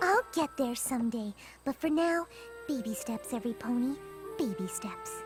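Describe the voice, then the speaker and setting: A cartoonish character voice, female-sounding and high in pitch for a woman, moves at a moderate pace with long, frequent pauses. Clear music plays in the background. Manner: soft-spoken, hesitant.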